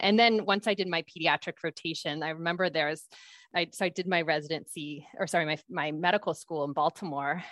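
Over a quiet background and in a dry, close sound with no echo, a woman with an unremarkable speaking voice talks at a fairly quick pace, fairly low in pitch, with fairly even intonation. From US Pacific Northwest, Seattle. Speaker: pediatrician. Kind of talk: interview. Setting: video call.

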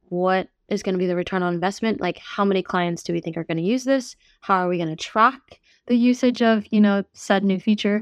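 A woman speaks in a normal speaking voice with an American accent, her pitch medium and its variation ordinary. The sound is dry and close, with no echo. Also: quiet background. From New York. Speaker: tech startup CEO. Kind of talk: interview.

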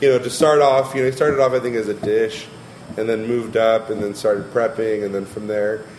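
A man at a fairly quick pace with fairly even intonation, amid noticeable background noise. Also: medium pitch for a man. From Long Beach, California (Mexican family). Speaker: chef. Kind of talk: casual interview.

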